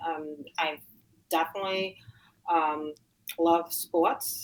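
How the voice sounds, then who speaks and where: The speaker has a New York accent. Pitch variation is ordinary. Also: woman. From Queens, New York. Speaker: weightlifter and tutor. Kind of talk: interview. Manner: halting.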